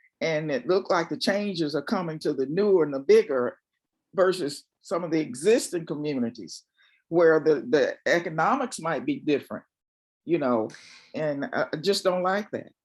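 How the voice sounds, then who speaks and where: Here a man with an American accent speaks at a moderate pace in a high pitch, with lively intonation. The background is quiet. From US South, Charlotte, North Carolina. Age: 70s. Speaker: community resident. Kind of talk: public comment at community meeting.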